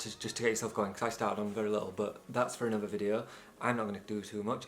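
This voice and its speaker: A man with a British accent at a very fast pace. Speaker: videographer and photographer, YouTuber. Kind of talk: channel intro vlog. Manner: casual, energetic.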